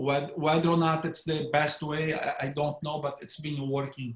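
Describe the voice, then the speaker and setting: With a Brazilian accent, a man speaks at a moderate pace in a somewhat breathy voice of fairly high pitch. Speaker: neurointerventionalist. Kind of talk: panel discussion. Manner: hesitant with repetitions.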